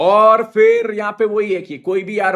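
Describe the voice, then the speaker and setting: The speaker is a man. His tone is animated. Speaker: CA teacher. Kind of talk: live online lecture. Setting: live stream on mobile data.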